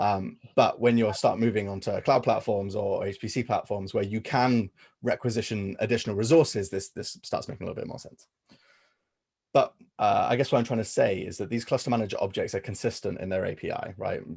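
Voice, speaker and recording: Loudness swings widely in a man's voice. He speaks at a fairly quick pace. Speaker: workshop presenter. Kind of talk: technical workshop presentation. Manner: hesitant with many fillers.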